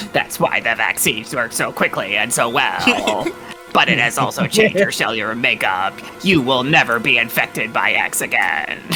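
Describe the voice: Using a robotic, put-on character voice, a man speaks at a medium pitch and moderate pace over clear background noise.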